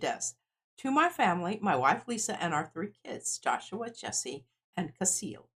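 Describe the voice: Someone gives a plain reading aloud with lively intonation. The background is quiet.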